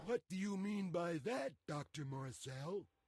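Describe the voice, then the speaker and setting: Using a put-on character voice, a man speaks high and at a fairly slow pace. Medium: video game.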